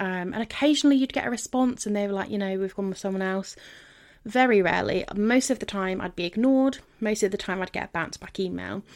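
A woman's medium-pitched voice at a very fast pace, with ordinary pitch variation, on a very clean recording with a silent background. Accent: southern English. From London and Devon, England. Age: 30s. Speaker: podcast host. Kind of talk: solo podcast monologue.

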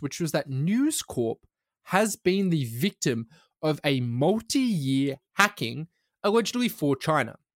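With an Australian accent, the speaker's pitch swings very widely at a fairly slow pace, in a dry, close sound with no echo on a very clean recording with a silent background. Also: man. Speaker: journalist and podcast co-host. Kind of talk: casual chat.

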